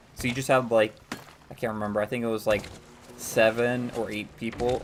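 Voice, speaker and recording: Amid noticeable background noise, a man with an American accent talks at a moderate pace and medium pitch in a monotone, flat way. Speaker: gaming streamer. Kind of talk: live gameplay stream chat. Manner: casual, many filler words.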